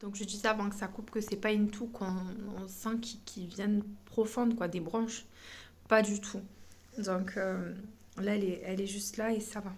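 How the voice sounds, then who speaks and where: A woman's somewhat breathy, medium-pitched voice, monotone and flat at a moderate pace, with long, frequent pauses and audible room echo. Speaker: family vlogger. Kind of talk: casual vlog talk to camera. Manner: hesitant, many fillers.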